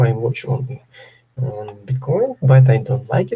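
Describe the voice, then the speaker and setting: With a Ukrainian accent, a man speaks slowly at medium pitch, somewhat breathy, in a dark, mellow tone. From Ukraine. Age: 30s. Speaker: trader. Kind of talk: live webinar Q&A. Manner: halting.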